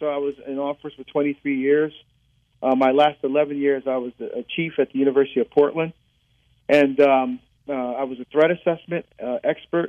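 In a New Jersey accent, a man talks at a moderate pace and fairly high pitch with monotone, flat intonation. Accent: New Jersey American. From New Jersey, born in Barbados. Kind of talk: interview.

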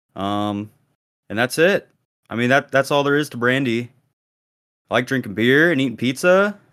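The speech moves at a moderate pace with lively intonation and long, frequent pauses. The recording is very clean, with a silent background. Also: man, medium pitch for a man. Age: 20s. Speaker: podcast co-host. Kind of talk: casual chat. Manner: casual, laid-back.

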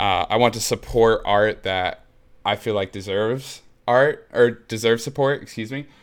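A man with an American accent speaks at a medium pitch and a moderate pace. His intonation is fairly even, on a very clean recording with a silent background. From US Midwest, Muncie, Indiana. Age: 20s. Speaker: music blog editor. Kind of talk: interview.

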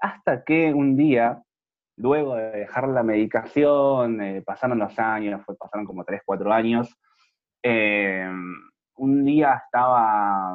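A man's medium-pitched voice at a very slow pace. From Argentina, Buenos Aires province (Moreno). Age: 20s. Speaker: HIV youth network activist. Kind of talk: interview.

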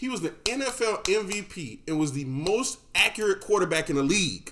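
A man speaks fairly slowly in a high voice, his pitch swinging very widely. Noticeable background noise runs behind him. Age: 30s. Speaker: podcast host. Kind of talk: casual banter podcast.

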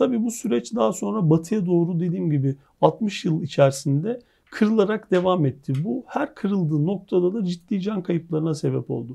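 A man speaks at a moderate pace with lively intonation, his pitch high yet his tone dark and mellow. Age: 40s. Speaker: geophysics academic. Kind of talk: interview.

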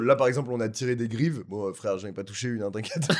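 Very fast delivery from a man, medium in pitch, its pitch variation ordinary. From Paris, France (7th arrondissement). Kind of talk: casual chat.

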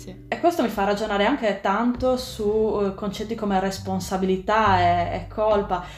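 A woman with a Sardinian accent talks at a moderate pace with hardly any pauses. Music plays in the background and room echo is audible. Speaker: sustainability blogger. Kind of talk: interview.

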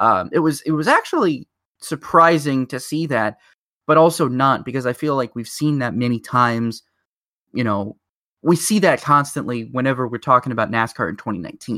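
Dry and close with no echo, a man's medium-pitched voice has a bright, sharp tone, ordinary pitch variation and a fairly quick pace. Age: 20s. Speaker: motorsport podcast host. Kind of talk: casual chat. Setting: remote recording over internet.

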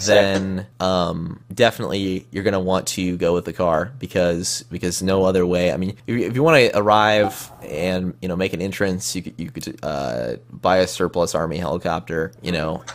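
A man speaks with a Midwestern accent at a very deep, low pitch. His pace is fairly slow, with ordinary pitch variation. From Midwestern US. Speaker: podcast participant. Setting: online voice chat. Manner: casual, rambling.

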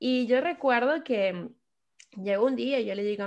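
Against a quiet background, a woman with a Venezuelan accent speaks at a fairly slow pace with ordinary pitch variation. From Venezuela, Caracas. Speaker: podcast guest sharing life story. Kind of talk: personal testimony in casual interview. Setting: remote call.

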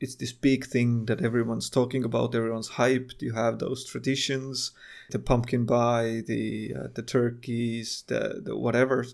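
A man with a non-native accent and a medium pitch speaks at a moderate pace with hardly any pauses. His intonation is monotone and flat. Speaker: podcast co-host. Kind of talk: casual chat. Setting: video call, separate mics.

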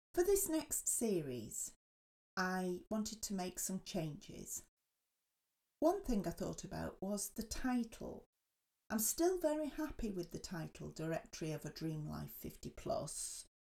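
A woman with an English accent speaks at a fairly slow pace. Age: 50s. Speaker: podcast host. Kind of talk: casual chat.

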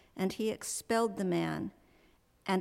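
An unremarkable speaking voice at a moderate pace, on a very clean recording with a silent background. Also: woman. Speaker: congregation scripture reader. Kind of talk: scripture reading.

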